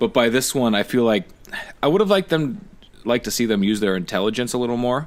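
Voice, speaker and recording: A man's medium-pitched voice with a southern Ontario accent, very fast, with ordinary pitch variation. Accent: regional Niagara accent (Canadian). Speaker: podcast co-host. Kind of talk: casual chat.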